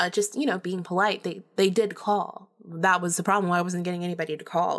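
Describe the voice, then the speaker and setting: A woman with an unremarkable speaking voice talks fairly low and at a fairly quick pace. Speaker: podcast host. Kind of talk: solo storytelling monologue. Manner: casual, chatty, laughs often.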